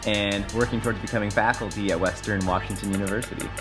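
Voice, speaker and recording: A man with a fairly low pitch talks at a very fast pace over clear background music. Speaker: mountain bike vlogger. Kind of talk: casual vlog chat. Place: home room. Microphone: phone near.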